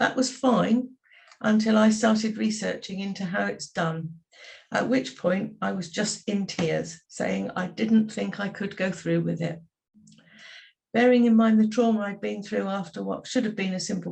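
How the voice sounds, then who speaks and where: A somewhat breathy woman with an English accent, moderate pace and ordinary pitch variation, over a quiet background. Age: 70s. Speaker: patient sharing experience. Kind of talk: testimony.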